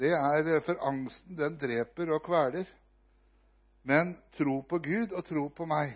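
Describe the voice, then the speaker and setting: The man's fairly high voice moves very slowly, with ordinary pitch variation. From Norway. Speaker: visiting preacher. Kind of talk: sermon.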